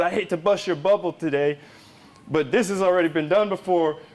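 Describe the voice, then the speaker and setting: A man's high-pitched voice at a fairly quick pace, fairly even in intonation, with noticeable background noise. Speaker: politician. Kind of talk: campaign speech to a live crowd. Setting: live event, crowd. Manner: casual, folksy storytelling.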